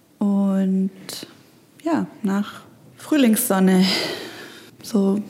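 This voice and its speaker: With noticeable background noise around her, a woman's voice sits at a medium pitch. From Stuttgart, southwest Germany. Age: 20s. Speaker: author and graphic designer. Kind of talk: casual conversation. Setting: separate rooms, connected via headphones.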